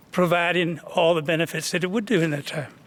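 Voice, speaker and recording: A man speaks in a high voice. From West Texas (Midland). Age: 70s. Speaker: oil and gas company representative. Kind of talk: town hall Q&A answer. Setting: public meeting with audience. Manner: halting, repeated words.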